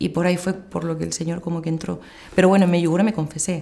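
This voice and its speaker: In a Madrid accent, a woman speaks at a fairly low pitch with a dark, mellow tone and fairly even intonation. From Madrid, Spain; Spain. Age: 30s. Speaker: pilgrimage organizer; interviewee. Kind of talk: testimony. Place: home room.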